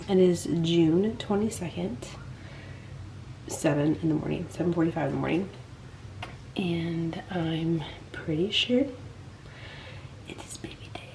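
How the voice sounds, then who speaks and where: A woman whispers at a very slow pace, with long, frequent pauses and big swings in loudness. The room echo is audible, and background noise is noticeable. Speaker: vlogger. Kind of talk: vlog. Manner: whispering.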